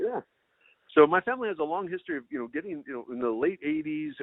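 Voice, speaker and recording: Speaking with an American accent, a man with a fairly high pitch makes very wide pitch swings. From Minnesota. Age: 50s. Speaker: foraging and wild plant teacher. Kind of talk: podcast interview.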